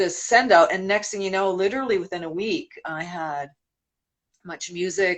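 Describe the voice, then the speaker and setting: A woman's speech moves at a moderate pace. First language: Spanish. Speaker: singer. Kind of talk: interview.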